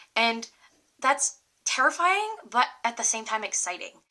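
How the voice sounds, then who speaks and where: In a Rhode Island accent, a woman speaks at a moderate pace with a high pitch. Her raised, projected voice moves through very wide pitch swings. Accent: occasional Rhode Island. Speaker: college student. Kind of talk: casual talk to camera.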